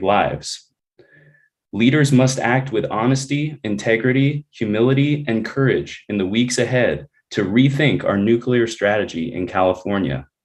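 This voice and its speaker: A man speaks in a plain, everyday voice at medium pitch. His intonation is lively and his pace moderate. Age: 30s. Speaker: energy policy researcher, public commenter. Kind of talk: public comment. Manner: formal.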